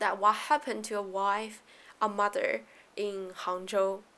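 With a Chinese accent, a woman talks at a very slow pace in a fairly high pitch, her tone bright and sharp. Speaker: podcast host. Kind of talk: solo podcast talk on economics. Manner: casual, with fillers.

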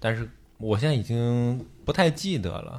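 The recording is very clean, with a silent background. A man speaks fairly slowly at a medium pitch. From Liaoning, northeast China. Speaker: podcast co-host. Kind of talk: casual chat, music sharing.

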